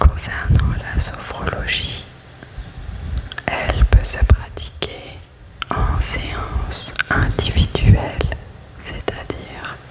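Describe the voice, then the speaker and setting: A woman whispers at a very slow pace with long, frequent pauses. Noticeable background noise sits behind her. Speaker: sophrologist. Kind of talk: ASMR sleep whisper talk. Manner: whispered.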